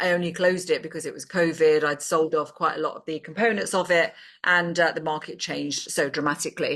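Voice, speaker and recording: A woman with a British accent speaks in a fairly low pitch, her tone bright and sharp. Her loudness swings widely, and she hardly pauses at all. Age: 60s. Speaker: business advisor and investor. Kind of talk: casual talk to camera. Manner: hesitant with many fillers.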